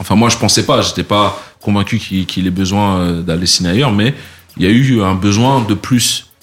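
A man of fairly low pitch at a moderate pace with ordinary pitch variation, noticeable background noise around him. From France, Paris region (Les Mureaux). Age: 40s. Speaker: music entrepreneur. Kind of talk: interview conversation.

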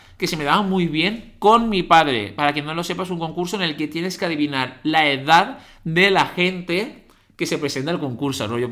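A bright, sharp tone at a moderate pace with ordinary pitch variation. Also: man. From Valencia, Spain. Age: 30s. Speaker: podcast co-host, dancer and youtuber. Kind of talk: casual chat. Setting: at home.

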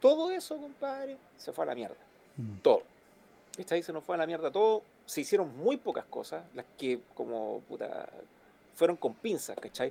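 Keeping a moderate pace, a man's voice shows big swings in loudness. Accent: Chilean. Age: 40s. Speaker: musician and sound engineer. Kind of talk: casual interview. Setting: live stream.

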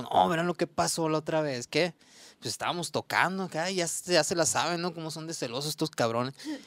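With a normal speaking voice, a man talks at a fairly quick pace and fairly high pitch, his intonation lively. The recording is very clean and dry, close with no echo and a silent background. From Mexico, Sonora (Ures). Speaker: musician. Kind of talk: casual chat.

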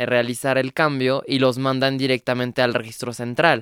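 In a French accent, the speaker goes at a fairly slow pace, recorded very cleanly with a silent background and a dry, close sound with no echo. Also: man. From France. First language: French (speaking Spanish). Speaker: activist. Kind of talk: radio interview. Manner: halting.

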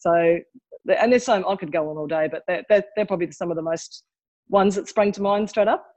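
At a fairly quick pace, a woman with an Australian accent talks at a medium pitch with ordinary pitch variation. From Tasmania, Australia. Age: 50s. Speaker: podcast guest, mother. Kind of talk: casual interview chat.

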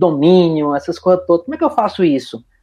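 With lively intonation and a moderate pace, a man speaks at a high pitch. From Recife, Brazil. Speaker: IT professional, DevOps specialist. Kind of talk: casual interview. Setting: remote recording.

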